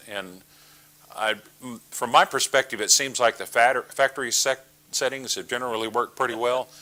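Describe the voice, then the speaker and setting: A man with a Texas accent speaks at a medium pitch. His tone is bright and sharp. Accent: Texas drawl. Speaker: amateur radio trainer. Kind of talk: training presentation. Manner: halting, many fillers.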